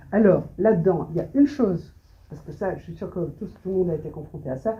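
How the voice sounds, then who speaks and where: A dark, mellow voice at a very fast pace, with big swings in loudness and audible room echo. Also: woman. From Belgium, Brussels. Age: 70s. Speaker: photographer. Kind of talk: interview on stage. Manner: halting, many hesitations.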